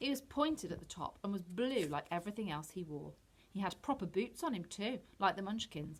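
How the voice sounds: Simply a natural reading voice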